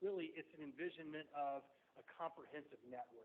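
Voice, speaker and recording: A man is speaking. His pace is moderate. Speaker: transportation planning consultant. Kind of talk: presentation at a public meeting. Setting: hybrid meeting room with remote attendees. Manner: loud, talkative; hesitant, many fillers.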